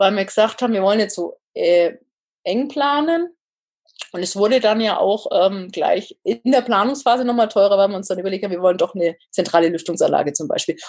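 Using a normal speaking voice, a woman talks at a fairly quick pace with medium pitch and lively intonation. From northern Bavaria. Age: 30s. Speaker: engineer and home builder. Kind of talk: casual interview.

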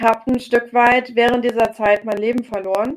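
In a monotone, flat delivery, a woman speaks at a fairly high pitch. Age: 30s. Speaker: chronic fatigue coach. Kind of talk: interview. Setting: video call. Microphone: poorer Zoom audio.

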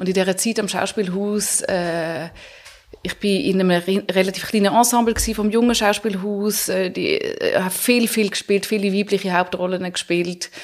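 A woman at a medium pitch and moderate pace, with fairly even intonation and noticeable background noise. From Switzerland, Zurich (also Paris, Hamburg). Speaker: author and actress. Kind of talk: interview. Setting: studio.

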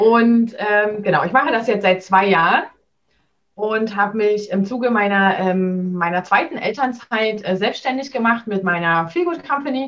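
A woman speaks in a normal speaking voice, fairly high-pitched, at a moderate pace with lively intonation. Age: 30s. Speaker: business coach for working mothers. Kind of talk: interview.

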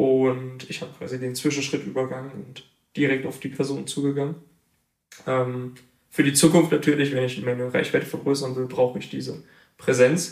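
A man in monotone, flat intonation at a moderate pace. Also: medium pitch for a man, big swings in loudness. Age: 20s. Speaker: photographer. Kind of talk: interview.

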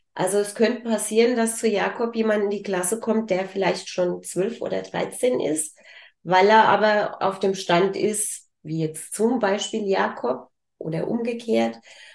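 With an ordinary speaking voice, a woman speaks at a medium pitch and a fairly slow pace, with ordinary pitch variation. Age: 50s. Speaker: business owner. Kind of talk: interview. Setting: studio.

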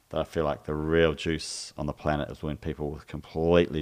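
In a New Zealand accent, a man speaks with a very deep, low pitch and monotone, flat intonation on a very clean recording with a silent background. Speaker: physical and vocal therapist. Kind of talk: casual chat.

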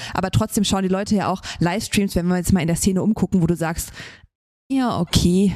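A woman talks at a fairly quick pace with a dark, mellow tone. Her pitch is medium, with ordinary variation. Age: 30s. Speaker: CrossFit gym owner and coach, podcast co-host. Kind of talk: casual chat.

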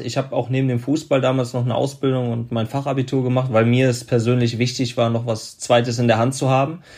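Flat, monotone speech from a man with medium pitch at a fairly quick pace, in a very clean recording with a silent background. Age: 30s. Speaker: former pro footballer and motivational speaker. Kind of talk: interview.

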